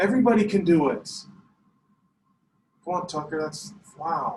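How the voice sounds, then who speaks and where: A man speaks loudly in a high voice at a moderate pace. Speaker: math teacher. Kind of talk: classroom lesson. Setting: classroom. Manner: animated.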